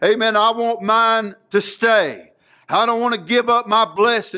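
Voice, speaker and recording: A man projects a raised voice with a bright, sharp tone. He goes at a fairly slow pace against a quiet background. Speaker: preacher. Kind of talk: sermon. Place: church. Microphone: podium.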